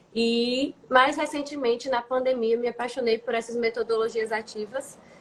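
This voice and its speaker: Her voice sits at a high pitch. The woman talks at a moderate pace. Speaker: science teacher. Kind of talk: interview.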